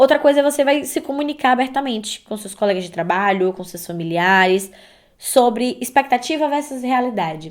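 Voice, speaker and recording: This voice has an animated tone and lively intonation, moving at a moderate pace in a very clean recording with a silent background. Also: woman. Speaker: podcast host. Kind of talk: casual podcast monologue.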